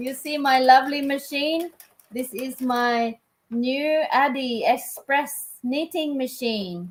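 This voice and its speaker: Here a woman speaks at a high pitch. Her pitch varies in an ordinary way. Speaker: livestreamer, knitting hobbyist. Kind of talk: casual live stream chat while crafting. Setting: live stream.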